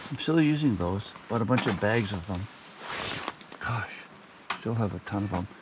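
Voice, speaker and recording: Over noticeable background noise, a man with a fairly low pitch and ordinary pitch variation talks at a moderate pace with long, frequent pauses. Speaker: camping vlogger. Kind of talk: casual vlog narration. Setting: outdoors. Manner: mumbling.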